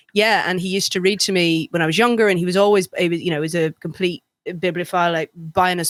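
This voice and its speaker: With a slight Northern Irish accent, a woman speaks at a fairly low pitch and with fairly even intonation, the sound dry and close with no echo. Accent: English with Northern Irish touches. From England, Northern Irish family. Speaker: podcast co-host. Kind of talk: casual chat.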